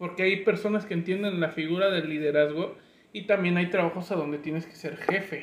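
Against noticeable background noise, a man with a high pitch and ordinary pitch variation speaks at a moderate pace. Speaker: podcast host. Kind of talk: casual chat. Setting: studio with video camera.

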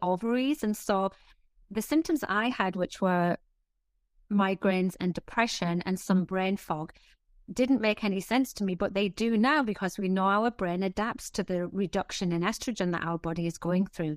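Over a quiet background, a woman at a medium pitch talks at a moderate pace with ordinary pitch variation, the sound dry and close with no echo. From northeast England. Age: 50s. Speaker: fitness and menopause health expert, author. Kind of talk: casual interview chat. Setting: video call.

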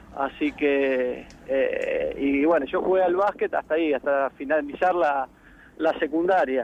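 A man's fairly high pitch over noticeable background noise. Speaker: sports club official. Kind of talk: radio interview.

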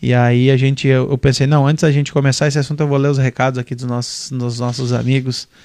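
This man talks very fast in a flat monotone at medium pitch. There are hardly any pauses. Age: 20s. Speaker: podcast host. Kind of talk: casual chat.

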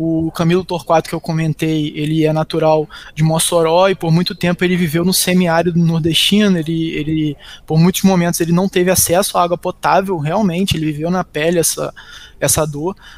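Speaking at a fairly quick pace, a man keeps his high-pitched voice monotone and flat. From Macaé, Rio de Janeiro state, Brazil. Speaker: business executive. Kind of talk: interview.

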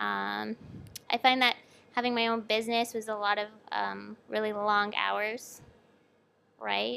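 A woman's speech full of long, frequent pauses, on a very clean recording with a silent background. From Canada, Toronto area. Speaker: artist and educator. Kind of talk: interview.

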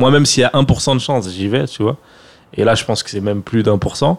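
With ordinary pitch variation and a medium pitch, this man speaks in a plain, everyday voice. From France, Seine-Saint-Denis (93). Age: 30s. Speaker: film director and online creator. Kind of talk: casual interview chat.

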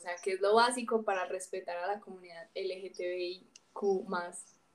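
In an unremarkable speaking voice, a woman talks at a fairly slow pace with fairly even intonation. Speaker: podcast host. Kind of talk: casual chat.

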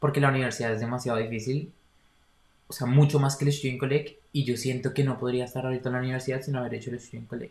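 A man's somewhat breathy, medium-pitched voice at a very fast pace in monotone, flat intonation. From Colombia, Bogotá. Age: 20s. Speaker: university student. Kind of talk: casual interview.

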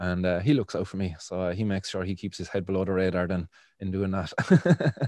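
A man with a Cork accent, very deep and low in pitch, dark and mellow in tone, at a fairly quick pace over a quiet background. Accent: Irish (Cork). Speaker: podcast host and cannabis activist. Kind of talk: interview, casual chat. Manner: fillers, hesitant, casual.

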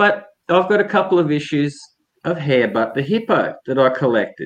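A man with a strong Queensland accent, his pitch swinging very widely. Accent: broad Australian, rural Queensland drawl. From North Queensland, Australia. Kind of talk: casual chat.

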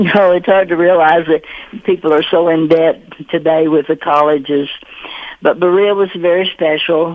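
Moderate pace in a Kentucky accent, with fairly even intonation, very even loudness and noticeable background noise. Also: woman, fairly low pitch for a woman. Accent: Southern US (Kentucky). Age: 80s+. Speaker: author and retired teacher. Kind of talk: radio interview.

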